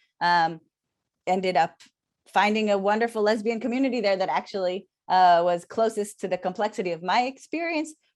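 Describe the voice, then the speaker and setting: A woman with an Israeli accent speaks at a fairly quick pace with lively intonation and a medium pitch. The background is quiet. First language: Hebrew. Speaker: scholar. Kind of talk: casual chat. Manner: halting.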